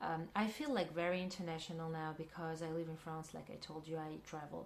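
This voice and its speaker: In a Russian accent, a woman talks at a moderate pace with fairly even intonation and a fairly low pitch. Room echo can be heard. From Central Asia, Kyrgyzstan. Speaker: filmmaker and actress. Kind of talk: interview. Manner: halting, many fillers.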